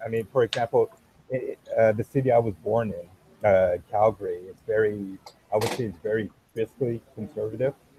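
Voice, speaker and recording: A man speaks at a moderate pace and medium pitch with fairly even intonation, recorded dry and close with no echo but with noticeable background noise. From Canada, Montreal (French Canadian family). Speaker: podcast guest, political news show host. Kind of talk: casual chat. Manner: halting, many repetitions.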